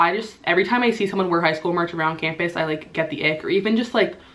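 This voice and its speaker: Over noticeable background noise, a woman talks at a very fast pace with medium pitch and ordinary pitch variation. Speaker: YouTuber, college student. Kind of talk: casual vlog advice talk. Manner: animated.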